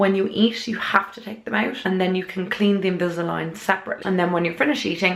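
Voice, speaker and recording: This woman's speech moves fairly quickly, her intonation fairly even and her pitch medium. Background noise is noticeable throughout. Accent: Irish. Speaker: beauty vlogger. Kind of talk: casual vlog talk to camera.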